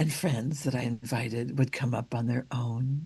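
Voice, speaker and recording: A somewhat breathy voice with a dark, mellow tone holds fairly even intonation against a quiet background. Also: woman. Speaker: minister. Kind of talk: sermon.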